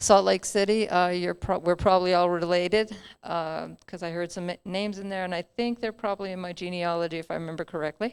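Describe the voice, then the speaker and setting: In a very clean recording with a silent background, a woman talks very fast at a fairly low pitch, her intonation monotone and flat but her loudness swinging widely. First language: New Mexican Spanish. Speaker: conference panelist. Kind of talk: panel discussion.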